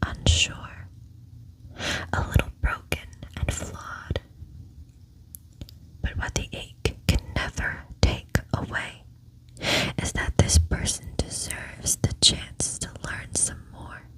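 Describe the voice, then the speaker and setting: Over noticeable background noise, someone whispers very slowly, pausing often and at length. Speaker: ASMR creator. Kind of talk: poetry reading. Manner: soft-spoken.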